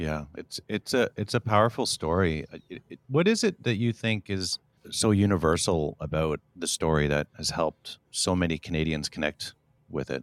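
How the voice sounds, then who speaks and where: A man's very deep, low voice with a dry, close sound and no echo. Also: ordinary pitch variation, moderate pace. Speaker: podcast host. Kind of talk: interview conversation.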